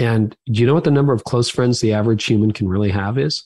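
In a Canadian accent, a man speaks at a medium pitch with ordinary pitch variation, somewhat breathy, over a quiet background with a dry, close sound and no echo. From Canada. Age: 50s. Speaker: pastor, author and podcaster. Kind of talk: interview conversation.

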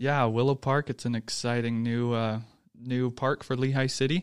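In an American accent, a man with an unremarkable speaking voice talks at a moderate pace and medium pitch. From Texas. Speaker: city parks official. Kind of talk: interview.

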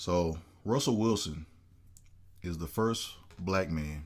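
This man has a very deep, low-pitched voice. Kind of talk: casual chat. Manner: animated.

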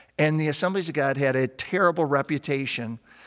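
At a moderate pace, a man talks in an ordinary speaking voice. His pitch is fairly high, with ordinary pitch variation. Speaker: pastor. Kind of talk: testimony.

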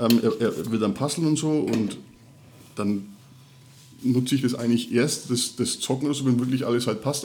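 Against audible room echo, a man with a Franconian accent speaks at a moderate pace and medium pitch. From Middle Franconia, Bavaria. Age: 30s. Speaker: podcast co-host, father. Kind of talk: casual chat.

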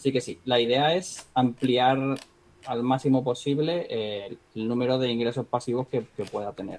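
A man uses a normal speaking voice at a medium pitch, with fairly even intonation. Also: moderate pace. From Spain, Marbella (Málaga, Andalusia). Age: 30s. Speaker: trader and entrepreneur, former guitarist. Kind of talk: casual interview.

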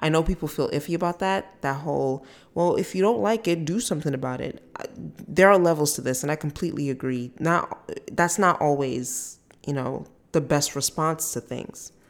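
Speaking at a moderate pace, a woman has a very deep, low pitch and ordinary pitch variation. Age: 30s. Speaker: solo podcast host. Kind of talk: personal monologue. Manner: casual, conversational.

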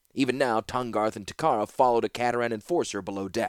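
The intonation is fairly even. An unforced voice does the reading.

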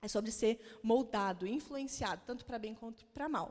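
Fairly quick delivery and ordinary pitch variation from an unremarkable speaking voice. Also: woman. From Paraná, Brazil (Maringá). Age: 30s. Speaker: pastor. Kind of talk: sermon.

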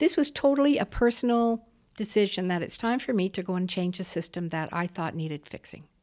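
A woman with an ordinary speaking voice and a Canadian accent talks at medium pitch and a fairly quick pace. Her intonation is lively, on a very clean recording with a silent background. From Waterloo, Ontario, Canada. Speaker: former mayor. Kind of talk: interview conversation.

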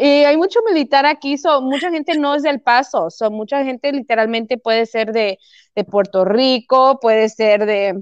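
With a Chihuahua accent, a woman talks at a moderate pace and high pitch with lively intonation, in a dry, close sound with no echo and a quiet background. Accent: sounds like Chihuahua, Mexico. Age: 30s. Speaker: fitness and weight-loss transformation guest. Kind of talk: casual interview.

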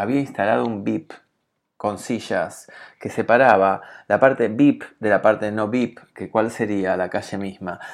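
A man speaks in an unremarkable speaking voice at medium pitch with ordinary pitch variation. The background is quiet. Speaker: podcast host. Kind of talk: podcast monologue and interview.

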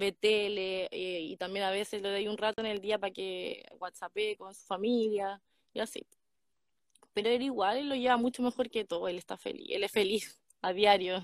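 Speaking with a Chilean accent, a woman at medium pitch keeps a moderate pace and fairly even intonation, with big swings in loudness in a dry, close sound with no echo. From Chile, Ñuble region (Ninhue). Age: 20s. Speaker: guest on live stream. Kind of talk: casual chat.

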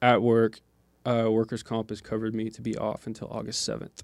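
A man at medium pitch. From Oklahoma. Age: 20s. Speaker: podcast co-host, dirt bike racer. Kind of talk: casual chat. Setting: studio.

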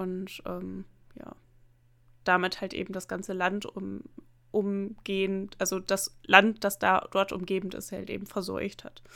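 A woman speaks in a flat monotone with long, frequent pauses. The recording is very clean, with a silent background. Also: medium pitch for a woman, fairly slow pace, big swings in loudness. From northern Germany, near the Emsland. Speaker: podcast co-host. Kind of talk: casual chat.

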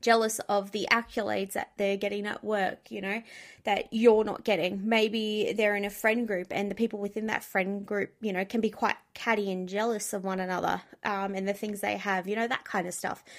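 At a moderate pace, a woman speaks with medium pitch and monotone, flat intonation. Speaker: podcast host. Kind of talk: solo advice monologue. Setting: home recording with dogs in room. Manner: blunt and direct.

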